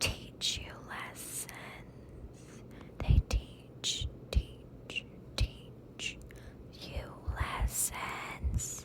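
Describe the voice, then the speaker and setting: A woman whispers at a very slow pace with long, frequent pauses over noticeable background noise. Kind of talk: ASMR whisper rambling. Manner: whispered, soft-spoken, slow.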